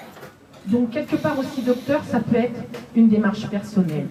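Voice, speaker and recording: Over noticeable background noise, a woman talks at a fairly slow pace in a fairly high voice. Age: 60s. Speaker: audience member at literary café. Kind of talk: personal testimony. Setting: literary café with audience.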